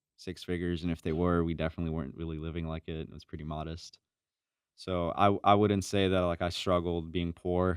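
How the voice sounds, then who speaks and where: A man's very deep, low voice in an American accent, fairly quick in pace and monotone and flat in intonation. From Chicago, south side. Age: 20s. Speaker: door-to-door salesman. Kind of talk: podcast interview. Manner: casual, filler-heavy.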